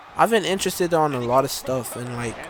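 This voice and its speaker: This man talks at a fairly quick pace with a medium pitch. His pitch varies in an ordinary way, and there is noticeable background noise. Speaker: gaming YouTuber. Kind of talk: gameplay commentary. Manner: halting, stumbling over words.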